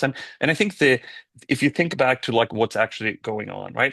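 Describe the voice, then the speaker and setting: A man's medium-pitched voice with a Swedish accent and ordinary pitch variation, dry and close with no echo, over a quiet background. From Sweden. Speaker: tech company founder and CEO. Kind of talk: podcast interview.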